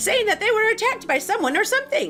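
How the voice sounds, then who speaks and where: A woman's squeaky, put-on character voice at an extremely high pitch, very fast, with very wide pitch swings and clear music in the background. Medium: game stream. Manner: whispering.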